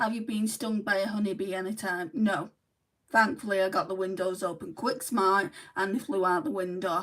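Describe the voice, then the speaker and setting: With a Mancunian accent, a woman speaks at a medium pitch and a moderate pace, her pitch varying in an ordinary way. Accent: sounds Mancunian. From northern England, Lancashire. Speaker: beauty vlogger. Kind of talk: livestream makeup tutorial chat. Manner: chatty.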